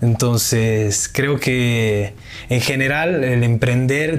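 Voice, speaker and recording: Audible room echo and noticeable background noise around a man of medium pitch with fairly even intonation. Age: 20s. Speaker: entrepreneur and university student. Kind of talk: casual interview.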